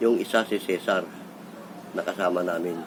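A moderate pace of speech with noticeable background noise. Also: man. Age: 60s. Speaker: vlogger. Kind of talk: casual storytelling monologue.

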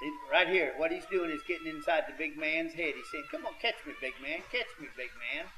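A man projects a raised, high-pitched voice with very wide pitch swings and big swings in loudness. His pace is moderate, and noticeable background noise runs underneath. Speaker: wrestling commentator. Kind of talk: live wrestling commentary. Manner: folksy, halting, stop-start analysis.

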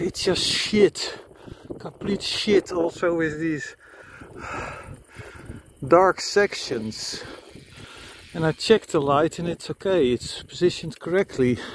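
Very slow, high-pitched male voice with long, frequent pauses, ordinary pitch variation, light background noise and a dry sound with no echo. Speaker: cyclist reviewing bike lights. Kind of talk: casual ride commentary. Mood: annoyed, critical. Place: bicycle. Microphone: camera far.

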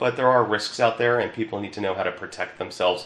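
With a Philadelphia accent, a man speaks in a monotone, flat intonation over light background noise and audible room echo. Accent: Philadelphia-area American. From Newtown, Pennsylvania (Bucks County); Pennsylvania. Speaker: insurance agent. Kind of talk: promotional talk. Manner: hesitant, with filler words. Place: office.

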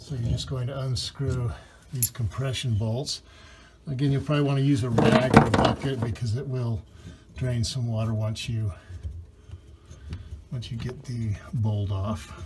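Noticeable background noise runs under speech broken by long, frequent pauses. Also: moderate pace. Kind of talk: tutorial. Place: bathroom. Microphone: phone near.

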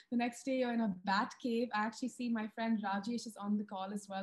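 The pace is very fast. It is a woman talking. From India. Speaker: wildlife filmmaker and TV presenter. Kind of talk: webinar presentation. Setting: video call. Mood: warm, enthusiastic. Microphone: video call.

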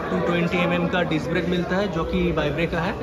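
Over crowd noise in the background, a man speaks at a moderate pace. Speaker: bike reviewer vlogger. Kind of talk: casual product walkaround commentary. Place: shop. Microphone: phone near.

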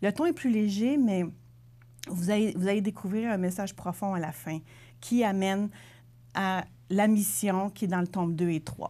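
A woman speaks at a fairly slow pace in a medium pitch, her dark, mellow tone broken by long, frequent pauses, with ordinary pitch variation. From Quebec City region, Quebec; Quebec. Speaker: self-published author; interviewee. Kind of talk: TV interview. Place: studio. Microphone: lapel.

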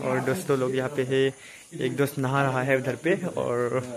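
The intonation holds fairly even throughout. Behind it, there is noticeable background noise. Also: man. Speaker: travel vlogger. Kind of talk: casual vlog chat. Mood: happy, relaxed. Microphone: phone near.

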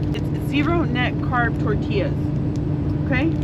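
A woman at a very slow pace, dry sound with no echo, over loud background noise. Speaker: truck driver vlogger. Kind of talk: casual vlog chat, cooking tutorial. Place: car. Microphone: camera far.

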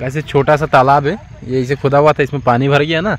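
A man talks at a fairly quick pace and medium pitch. His intonation stays fairly even.

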